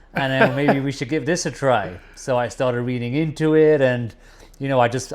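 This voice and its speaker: A man speaks with a British accent. His pace is fairly quick and his pitch variation ordinary. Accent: English (UK). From England, East Midlands (Nottingham). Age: 40s. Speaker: businessman. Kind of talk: casual chat.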